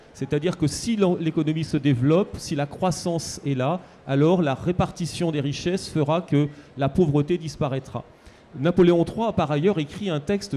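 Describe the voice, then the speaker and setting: With an unremarkable speaking voice, a man talks at a moderate pace, his pitch fairly high with ordinary variation. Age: 60s. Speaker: historian. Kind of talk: book talk panel discussion.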